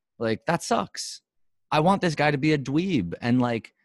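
A man with an American accent speaks in a dry, close sound with no echo over a quiet background. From New York. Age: 30s. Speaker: filmmaker and podcast host. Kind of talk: casual chat. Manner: halting.

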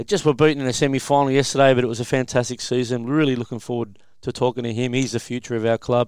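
A man speaks with an Australian accent. His pitch is medium. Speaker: podcast host. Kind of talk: casual chat. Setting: studio.

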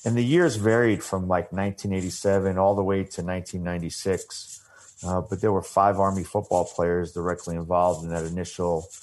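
Speaking with an American accent, a man with a very deep, low pitch talks at a fairly quick pace in a monotone, flat intonation. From US Northeast, Long Island. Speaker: army veteran and sports nonprofit director. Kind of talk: interview.

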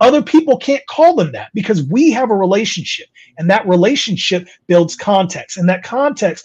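A man with an American accent at a moderate pace, his intonation lively. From California. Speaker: DEI consultant, HR professional. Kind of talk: interview.

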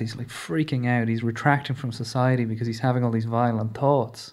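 A man with a Leinster accent, medium pitch and fairly even intonation. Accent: Irish, Leinster. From Newbridge, County Kildare, Ireland. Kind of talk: casual interview chat. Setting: studio.

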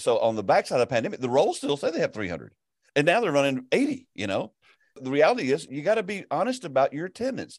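A man talks very fast with a Southern US accent and very wide pitch swings. The sound is dry and close with no echo, over a quiet background. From US South. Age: 60s. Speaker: pastor and ministry network leader. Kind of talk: casual interview.

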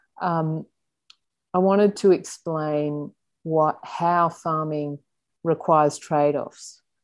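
A woman's very deep, low voice in an Australian accent, flat and monotone, at a very slow pace with long, frequent pauses. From Sydney, Australia. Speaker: journalist and author. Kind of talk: interview.

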